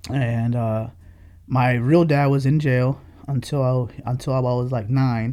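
Monotone, flat intonation marks this man's speech. He talks at a fairly slow pace. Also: medium pitch for a man. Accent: American. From New York (Bronx), also Dominican Republic and Pennsylvania. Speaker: car event promoter. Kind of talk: casual interview.

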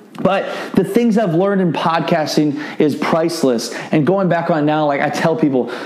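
Background noise is noticeable. A man speaks with a fairly high pitch. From US Midwest, Iowa. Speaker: podcast host and entrepreneur. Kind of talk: solo podcast monologue. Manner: speaks fast when excited.

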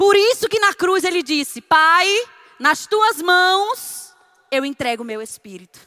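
A woman's extremely high, bright and sharp voice, raised and projected, with very wide pitch swings and a very slow pace. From Northeast Brazil. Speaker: preacher. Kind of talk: sermon. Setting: church.

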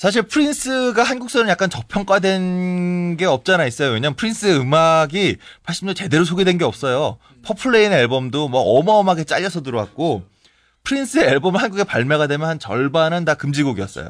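Against a quiet background, a man speaks in an animated tone at a fairly quick pace, his high voice making very wide pitch swings and big swings in loudness. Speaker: music critic. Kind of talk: casual chat.

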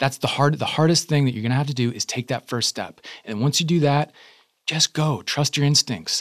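Speaking at a fairly quick pace with an American accent, a man has a fairly high voice with ordinary pitch variation, recorded with a dry, close sound with no echo against a quiet background. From Connecticut. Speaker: actor. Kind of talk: casual chat.

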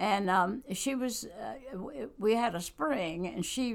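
With a Southern US accent, a woman talks at a medium pitch with lively intonation. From US South (North Carolina). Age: 80s+. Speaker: church member, author and Bible study leader. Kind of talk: casual interview.

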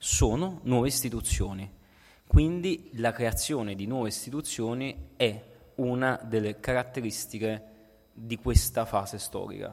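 In an unremarkable speaking voice, a man talks at a fairly slow pace with medium pitch, ordinary pitch variation and big swings in loudness. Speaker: political philosophy scholar and activist. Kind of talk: lecture.

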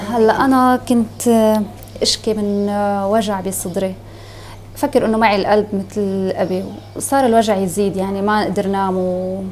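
Her pitch is medium and her intonation fairly even as this woman speaks at a fairly slow pace. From Syria, Homs. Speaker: refugee. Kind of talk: testimony. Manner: halting.

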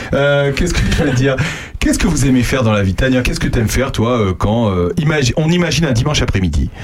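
Over noticeable background noise, a man with a medium-pitched voice talks very fast with lively intonation and very even loudness. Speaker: radio host. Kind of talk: casual chat. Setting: studio. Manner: animated.

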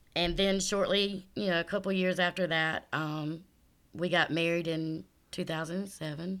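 A woman speaks with a South Carolina accent and a fairly low pitch. Her intonation is monotone and flat, at a moderate pace. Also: very clean recording, silent background. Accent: Southern US (South Carolina). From US South, South Carolina. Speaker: church member giving testimony. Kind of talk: testimony interview.

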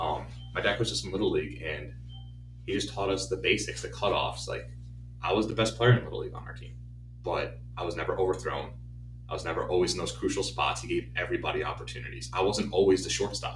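Music plays behind a man talking at a very fast pace. His very deep, low voice has lively intonation. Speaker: baseball coach and podcast host. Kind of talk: casual chat.

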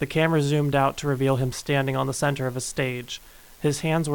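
Fairly even intonation while reading aloud in a natural voice.

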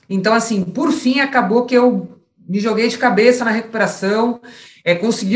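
With a normal speaking voice, a woman talks at a moderate pace in a fairly high pitch with ordinary pitch variation. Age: 30s. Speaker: former professional footballer. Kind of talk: interview.

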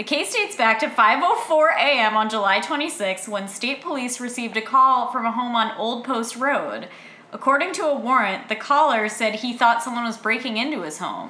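Lively intonation from a woman with a high voice, set against noticeable background noise. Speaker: podcast host. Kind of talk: casual chat.

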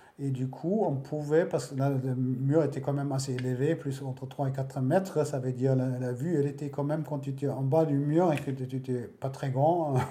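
A man with a German accent speaks at a moderate pace and fairly high pitch, with hardly any pauses. His intonation is fairly even, and there is audible room echo. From Germany, West Berlin. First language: German (speaking French). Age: 50s. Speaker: interviewee recalling the Berlin Wall. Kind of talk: testimony. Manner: halting.

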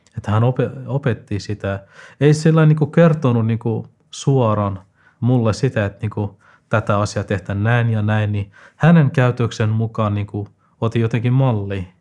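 A man at a fairly slow pace with a non-native accent, medium pitch and ordinary pitch variation, long, frequent pauses, a dark, mellow tone, and a very clean recording with a silent background. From Afghanistan. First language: not Finnish (speaking Finnish). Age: 20s. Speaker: student. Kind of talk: interview. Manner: halting, many fillers.

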